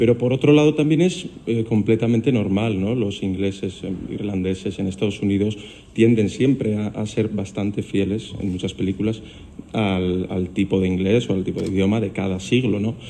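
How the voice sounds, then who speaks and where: A man talks at a moderate pace in a fairly low pitch with ordinary variation. His tone is dark and mellow. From Biscay, Basque Country. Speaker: actor. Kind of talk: press conference answer.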